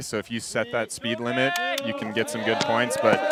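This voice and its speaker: Noticeable background noise runs under a man speaking with an American accent. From USA. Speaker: freeride ski commentator. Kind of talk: live commentary. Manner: animated.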